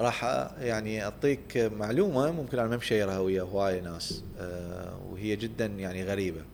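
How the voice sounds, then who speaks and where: Fairly slow speech with ordinary pitch variation and audible room echo. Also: man, fairly low pitch for a man. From Iraq (Baghdad, Samarra). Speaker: tech startup founder and CEO. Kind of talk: interview. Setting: studio.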